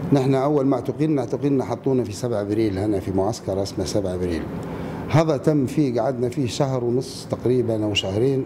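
Background noise is noticeable as a man talks. His pace is fairly quick, with ordinary pitch variation. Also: medium pitch for a man. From Libya. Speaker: former political prisoner. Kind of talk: interview answer. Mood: somber, reflective recollection. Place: hall.

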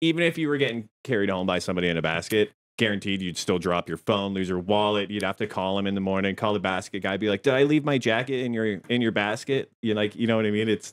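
With a Canadian accent and a fairly low pitch, a man speaks at a very fast pace with hardly any pauses. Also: ordinary pitch variation. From Chatham-London area, southwestern Ontario, Canada; Ontario. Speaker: podcast co-host. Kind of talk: casual chat. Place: home room. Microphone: studio mic.

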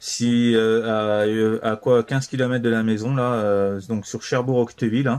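Speech comes at a fairly slow pace with fairly even intonation and a clear, smooth, slightly mellow tone. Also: man, medium pitch for a man.

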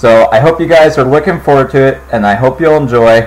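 Man's voice, moderate pace, ordinary pitch variation. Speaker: gaming channel host. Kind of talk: casual gaming commentary intro.

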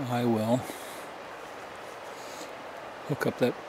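Over noticeable background noise, a man speaks at a moderate pace in a flat monotone, the sound dry with no echo. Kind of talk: casual vlog chat. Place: forest. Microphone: phone near.

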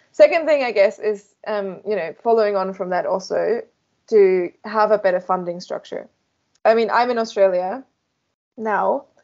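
Spoken at a moderate pace with a German accent, the voice shows ordinary pitch variation against a quiet background. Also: woman, medium pitch for a woman. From Germany. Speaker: beamline scientist; guest. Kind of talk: interview. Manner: animated. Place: office. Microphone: headset.

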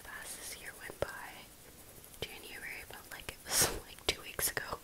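Noticeable background noise surrounds a woman whispering at a moderate pace. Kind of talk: ASMR close-up whispered coloring video; casual talk to camera. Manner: soft, close-mic whisper, relaxing.

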